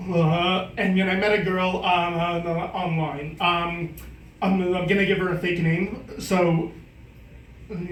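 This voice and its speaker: A man speaks very slowly at a high pitch with monotone, flat intonation. Noticeable background noise and audible room echo fill the recording. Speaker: comedian. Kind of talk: stand-up. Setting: stage with audience. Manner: halting.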